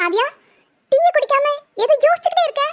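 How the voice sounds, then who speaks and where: In a cartoonish character voice, a woman squeaks at an extremely high pitch with very wide pitch swings, moving at a moderate pace in a dry, close sound with no echo. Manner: sarcastic, breezy.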